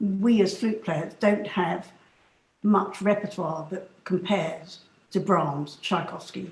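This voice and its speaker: Speaking very slowly, a woman talks with a southern English accent. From London, England. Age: 70s. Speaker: flute soloist and professor. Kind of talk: interview. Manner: hesitant fillers.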